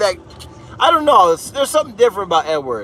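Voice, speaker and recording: A man's raised, projected voice with an American accent, amid noticeable background noise. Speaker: livestreamer plowing snow. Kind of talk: live stream chat reading. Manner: casual, conversational.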